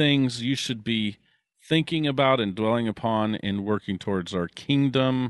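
The pitch shifts in an ordinary way as a natural reading voice is heard over a quiet background.

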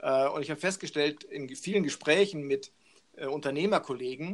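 A man at a fairly high pitch, fairly even in intonation and fairly slow in pace. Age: 50s. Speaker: business coach. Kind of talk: interview.

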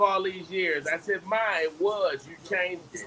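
A man's high, raised and projected voice at a fairly slow pace, with ordinary pitch variation over noticeable background noise. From Detroit, Michigan. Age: 50s. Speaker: comedian and actor. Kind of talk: casual interview chat.

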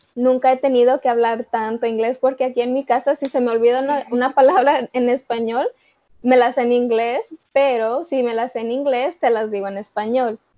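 The woman's voice is high in pitch, with fairly even intonation at a moderate pace. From Chicago, US. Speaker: college student. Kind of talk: casual chat.

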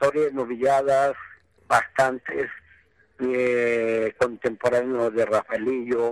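The speaker is a man with a medium pitch. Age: 60s. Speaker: bullfighting promoter and former novice bullfighter. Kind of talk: interview. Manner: halting, repetitive.

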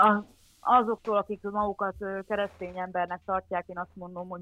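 A woman with monotone, flat intonation. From Transcarpathia, Ukraine (Hungarian minority). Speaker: former volunteer. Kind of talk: casual interview. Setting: remote call.

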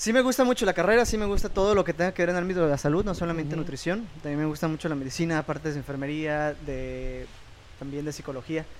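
A man's fairly high voice at a very fast pace, with lively intonation. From Mexico, Puerto Vallarta. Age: 20s. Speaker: church music ministry member. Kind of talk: casual chat.

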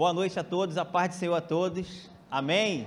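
A man speaks at a high pitch. His pace is fairly slow. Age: 40s. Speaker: church elder preaching. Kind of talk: sermon. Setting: church.

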